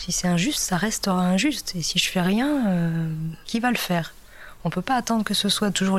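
Her loudness very even, a woman talks at a fairly quick pace and medium pitch with ordinary pitch variation. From Brittany / Nantes area, France. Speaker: explorer and musician. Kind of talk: interview testimony. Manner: halting, many hesitations.

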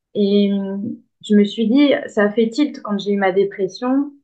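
A woman speaks at a fairly slow pace. Her fairly high voice has ordinary pitch variation. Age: 30s. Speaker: life coach. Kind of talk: interview. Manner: hesitant, many filler words.

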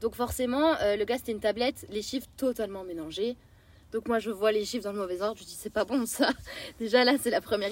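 Using a plain, everyday voice, a woman talks at a fairly quick pace with a fairly high pitch and ordinary pitch variation. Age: 20s. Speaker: traveller. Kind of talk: casual chat, travel storytelling.

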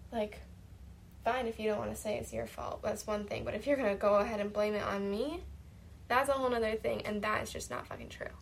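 A woman speaks at a fairly quick pace, with audible room echo. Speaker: personal podcaster recording for partner. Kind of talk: casual monologue.

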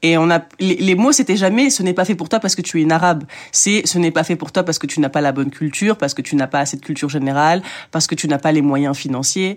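A woman speaks at a very fast pace in a very deep, low pitch. Her pitch variation is ordinary. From France, working-class suburb. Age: 20s. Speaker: journalist and author. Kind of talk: interview. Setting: recorded at an art school. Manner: halting, frequent repetitions.

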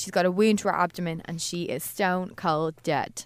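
A woman's normal speaking voice at a medium pitch and a moderate pace, with fairly even intonation, in a very clean recording with a silent background. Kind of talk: casual chat, recapping a TV episode.

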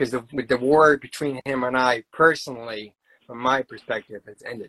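This man has a plain, everyday voice, medium in pitch, moving at a moderate pace. His intonation is fairly even, and the sound is dry and close with no echo. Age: 30s. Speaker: poet. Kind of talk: interview.

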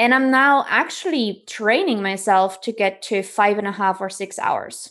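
A woman speaks with a German accent at a fairly high pitch and a moderate pace. Her pitch varies in an ordinary way, and the background is quiet. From East Germany. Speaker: author. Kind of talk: interview. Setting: video call.

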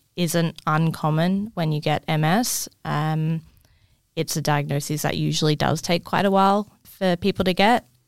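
In an Australian accent, a woman talks at a fairly slow pace with fairly even intonation, recorded with a dry, close sound and no echo. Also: very clean recording, silent background. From far north Queensland, Australia. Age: 20s. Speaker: health department worker living with MS. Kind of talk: casual interview. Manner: halting, word-finding pauses.

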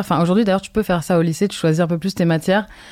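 A woman's fairly low voice with ordinary pitch variation, in a very clean recording with a silent background. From France and Brazil, partly raised in London. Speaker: fashion designer and content creator. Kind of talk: casual interview. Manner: halting.

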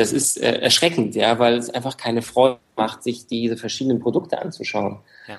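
Ordinary pitch variation comes with delivery at a moderate pace. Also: man, medium pitch for a man. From Frankfurt, Germany. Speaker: startup founder in real estate. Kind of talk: interview. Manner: hesitant, many fillers.

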